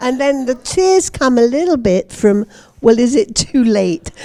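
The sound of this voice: A high-pitched woman's voice with lively intonation, at a fairly slow pace. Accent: British.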